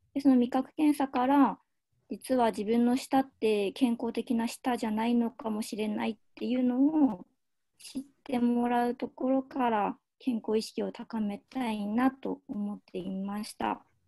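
Against a quiet background, a woman with a high pitch and a dark, mellow tone speaks at a fairly slow pace with fairly even intonation. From Aomori, northern Japan. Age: 20s. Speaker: nutritionist, overseas volunteer. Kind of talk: slide presentation. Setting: video call. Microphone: video call.

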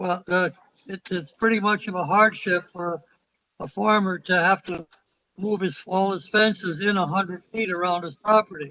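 Raising and projecting his voice, a man speaks at a high pitch in a bright, sharp tone, at a moderate pace with fairly even intonation and a dry, close sound with no echo. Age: 70s. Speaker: farmer. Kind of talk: public comment at town meeting.

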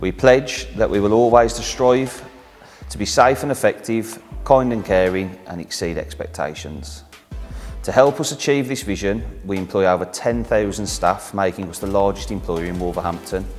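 With faint music in the background, a man speaks at a fairly low pitch, his loudness swinging widely. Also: moderate pace. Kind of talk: corporate interview introduction. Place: workshop.

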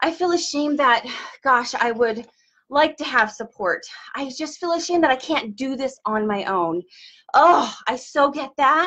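At a moderate pace, a woman speaks in a high pitch with a bright, sharp tone against a quiet background. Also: lively intonation. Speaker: wellness coach. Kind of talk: motivational live-stream talk. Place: office. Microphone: webcam.

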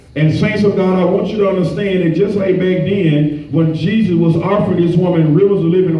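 In a room with audible echo, a man speaks at a high pitch with ordinary pitch variation. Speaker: preacher. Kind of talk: sermon. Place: church.

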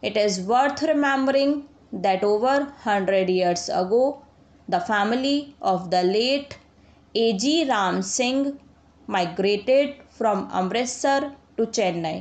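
Woman speaking at a very slow pace, lively intonation, very even loudness. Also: fairly high pitch for a woman. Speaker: shorthand dictation reader. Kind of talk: shorthand dictation read at 90 words per minute. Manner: slow, measured.

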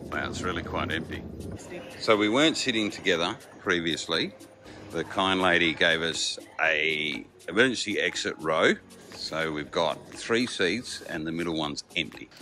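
Faint music plays behind a man whose very deep, low voice moves at a moderate pace with ordinary pitch variation. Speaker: travel vlogger. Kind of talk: casual vlog chat. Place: station. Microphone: phone near.

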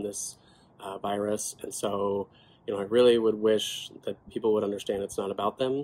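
A man's fairly low voice at a moderate pace, in monotone, flat intonation. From California. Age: 20s. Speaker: rare disease advocate, legislative aide. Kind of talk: personal testimony to camera. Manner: casual, conversational. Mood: earnest, calm. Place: home room. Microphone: phone near.

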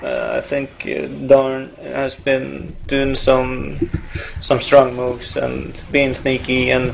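A man delivers his words very slowly while noticeable background noise runs behind him. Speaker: esports caster. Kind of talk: live esports commentary. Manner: hesitant, filler-heavy, conversational.

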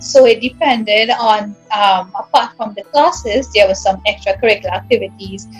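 This woman has a Trinidadian accent and a fairly high pitch with ordinary variation. Faint music plays behind her. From Trinidad and Tobago. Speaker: English teacher. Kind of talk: interview answer. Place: home room. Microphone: video call.

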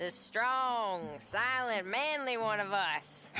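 A female-sounding voice puts on a character voice at a fairly high pitch, speaking at a very slow pace over clear background noise. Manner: slurring.

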